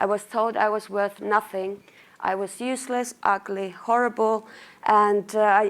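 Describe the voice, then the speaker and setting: A woman with a Finnish accent speaks at a moderate pace in a monotone, flat intonation. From Finland, Lapland. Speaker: marketing manager. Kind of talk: conference talk.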